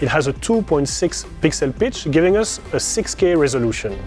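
A man's voice sounds dry with no echo, with faint music playing in the background. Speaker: studio guide. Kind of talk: guided tour presentation. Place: studio. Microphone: lapel.

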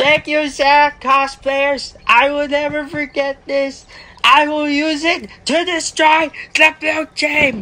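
The speech moves at a very slow pace. The pitch is high. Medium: machinima. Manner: gloomy, then gushing with excitement.

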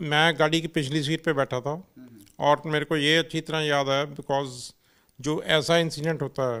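A man talks at a fairly slow pace in a fairly high, bright, sharp voice. His intonation is monotone and flat over a quiet background. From Chandigarh, India; India. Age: 50s. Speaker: road safety activist, wheelchair user; interviewee. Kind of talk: interview. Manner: frequent switching between Hindi and English. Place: office.

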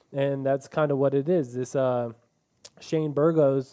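The background stays quiet. A man speaks at a fairly slow pace. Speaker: podcast host. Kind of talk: casual sports chat. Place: studio. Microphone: studio mic.

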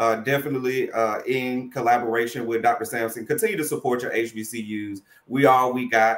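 In a room with audible echo, a man of medium pitch keeps a moderate pace and fairly even intonation, with hardly any pauses. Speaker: college student financial services administrator. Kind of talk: online panel interview. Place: home room.

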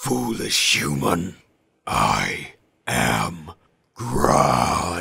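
A man puts on a character voice, pitched very deep and low. It comes out guttural and raspy.

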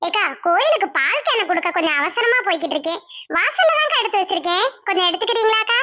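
A woman puts on a cartoonish character voice at an extremely high pitch. She moves at a fairly quick pace with very wide pitch swings. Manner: polite, warm, calls the other woman "akka".

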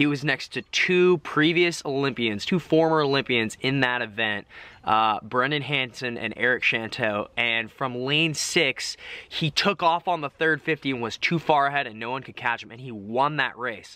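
Bright, sharp delivery with big swings in loudness and ordinary pitch variation in a dry sound with no echo. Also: man, moderate pace. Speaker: vlogger. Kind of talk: casual vlog chat, Q&A answers. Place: garden. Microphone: phone near.

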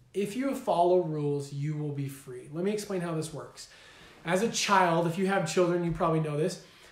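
Against noticeable background noise, a man with a high pitch speaks in an animated tone at a fairly quick pace. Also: ordinary pitch variation. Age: 30s. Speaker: weight loss coach. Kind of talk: motivational talk to camera. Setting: live video stream with whiteboard.

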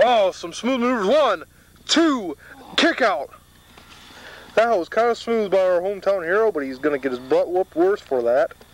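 A man talks in a high, animated voice with very wide pitch swings at a moderate pace. Long, frequent pauses break it up, and the sound is dry with no echo. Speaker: wrestling commentator. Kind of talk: wrestling commentary. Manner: animated, joking, excitable play-by-play with ad-libbed jokes and exclamations; playful, sarcastic banter. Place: garden. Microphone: old recording.

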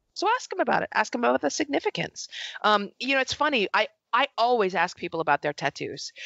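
A woman talks at a very fast pace with vocal fry and very wide pitch swings. Her loudness stays very even over a quiet background. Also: fairly high pitch for a woman, dry sound with no echo. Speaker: journalist and author; journalist. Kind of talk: podcast interview. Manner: animated. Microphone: headset.

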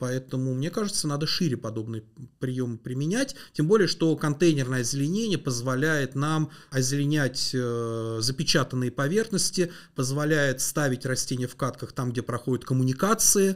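A man speaks at a moderate pace with a fairly high pitch and ordinary pitch variation. The background is quiet. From Moscow region, Russia (Mytishchi); Moscow region, Russia. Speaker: landscape engineer; guest. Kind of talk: interview. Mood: calm, explanatory. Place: studio. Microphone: studio mic.

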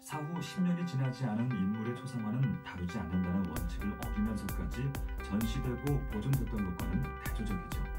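A man at a fairly quick pace over clear music in the background. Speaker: voice actor. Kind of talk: museum audio guide narration. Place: booth.

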